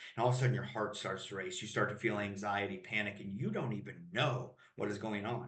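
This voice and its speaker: At a very fast pace, a man with a fairly low pitch and vocal fry speaks with ordinary pitch variation, and audible room echo surrounds him. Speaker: emotional mastery coach. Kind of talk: podcast interview. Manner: loud.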